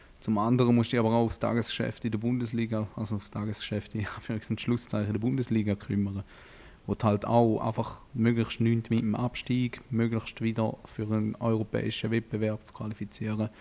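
A man's dark, mellow tone at medium pitch, monotone and flat, at a fairly quick pace. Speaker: football podcast co-host. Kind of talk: casual chat.

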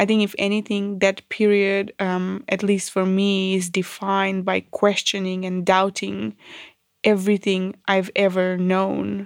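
On a very clean recording with a silent background, a woman with a Macedonian accent talks at a medium pitch with monotone, flat intonation. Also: fairly slow pace. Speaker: podcast host. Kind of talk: casual conversation. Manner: halting, many fillers.

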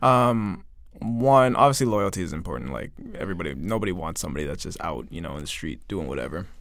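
Very fast speech with vocal fry comes with very wide pitch swings and big swings in loudness. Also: man, very deep, low pitch for a man. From Canada (Toronto). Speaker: musician, returning podcast guest. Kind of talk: casual chat.

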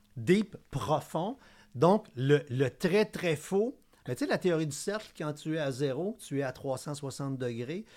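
A man with a fairly high pitch speaks at a very slow pace with lively intonation. The recording is very clean, with a silent background. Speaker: cybersecurity expert. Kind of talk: casual chat.

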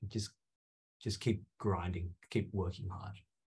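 In an Australian accent, a man speaks at a moderate pace with a fairly low, somewhat breathy voice. His intonation is monotone and flat against a quiet background. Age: 20s. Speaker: pharmacist. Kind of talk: interview conversation.

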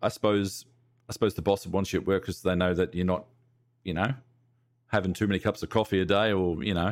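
The speaker is a man. His accent is Australian. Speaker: podcast host and streamer. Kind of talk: casual chat.

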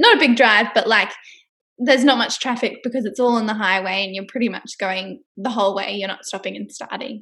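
Speaking at a fairly quick pace, a woman with an Australian accent has a fairly high pitch, a bright, sharp tone, ordinary pitch variation and big swings in loudness. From Australia, Brisbane (Queensland). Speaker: public relations rep. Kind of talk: casual interview chat.

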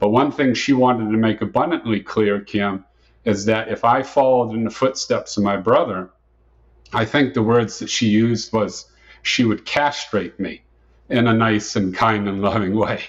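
A man with an American accent at medium pitch, moderate pace, fairly even intonation, quiet background. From Massachusetts, US. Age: 50s. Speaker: pro-life speaker. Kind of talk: personal testimony in interview.

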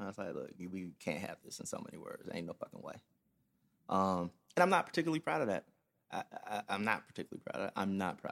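At a very fast pace with long, frequent pauses, a man speaks in big swings of loudness, the sound dry and close with no echo. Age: 30s. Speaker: podcast host. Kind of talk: casual monologue. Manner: hesitant, many fillers.

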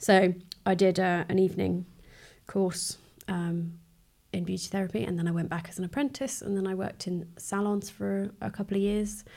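The speaker uses an unremarkable speaking voice at a moderate pace. Pitch varies in an ordinary way. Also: woman. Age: 30s. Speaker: beauty therapist sharing mental health experience. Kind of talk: casual chat.

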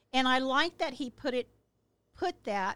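The woman is heard in a very clean recording with a silent background. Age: 60s. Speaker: parent of the host, political guest. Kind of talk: heated debate.

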